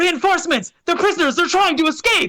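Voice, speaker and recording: This is a squeaky, put-on character voice at an extremely high pitch. It moves along at a fairly quick pace. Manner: shouting, alarmed.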